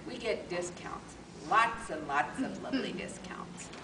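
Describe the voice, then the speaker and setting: A woman's fairly high voice with big swings in loudness, audible room echo, and noticeable background noise. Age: 70s. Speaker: Toastmasters contest speaker. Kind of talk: humorous speech.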